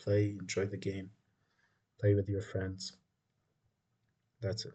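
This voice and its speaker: The man's voice is fairly low in pitch, with a dark, mellow tone and a somewhat breathy quality. He speaks at a fairly slow pace. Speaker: chess teacher. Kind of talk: tutorial. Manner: monotone.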